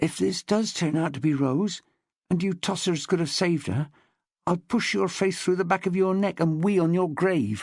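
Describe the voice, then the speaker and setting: A man puts on a character voice that is high-pitched and husky. He keeps a moderate pace. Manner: menacing.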